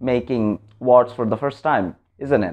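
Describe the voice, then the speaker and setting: A man speaks with a Bengali accent at a moderate pace. His pitch is medium, with ordinary variation. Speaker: vlogger. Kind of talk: motivational vlog talk.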